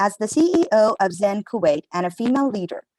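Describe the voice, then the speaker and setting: Speaking at a moderate pace, a woman uses a fairly high pitch with very wide swings, recorded with a dry, close sound and no echo. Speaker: panel moderator. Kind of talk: moderating panel. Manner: halting.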